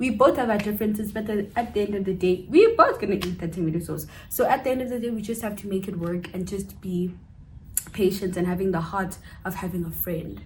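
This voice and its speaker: A woman talks at a very fast pace in a somewhat breathy voice, at medium pitch with ordinary pitch variation. Room echo is audible. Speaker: cousin of the channel host, guest. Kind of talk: casual chat.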